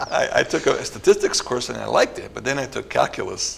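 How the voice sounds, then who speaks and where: Background noise is noticeable throughout. Over it, a male speaker keeps a moderate pace. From northern New Jersey, US. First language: Italian. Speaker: neuroscience researcher. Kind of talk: interview. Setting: studio.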